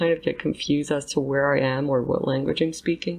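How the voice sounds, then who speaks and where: Speaking at a fairly quick pace, a woman shows vocal fry and ordinary pitch variation. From Montreal, Quebec. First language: French. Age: 20s. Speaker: anthropology student and podcast host. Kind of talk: casual self-interview monologue.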